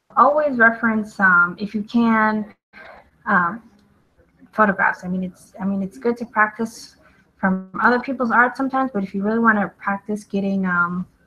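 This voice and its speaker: Against background music, a woman with a fairly high pitch talks at a moderate pace with fairly even intonation. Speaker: artist and drawing instructor. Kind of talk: live drawing tutorial. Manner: casual with many fillers.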